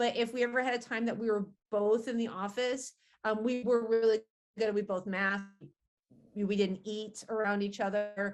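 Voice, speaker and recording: A woman's fairly high voice, monotone and flat, at a moderate pace against a quiet background. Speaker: college science instructor. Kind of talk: interview. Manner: loud.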